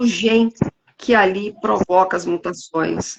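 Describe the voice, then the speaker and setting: A woman speaks at a very slow pace. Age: 60s. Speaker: live stream moderator, patient advocate. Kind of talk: casual chat.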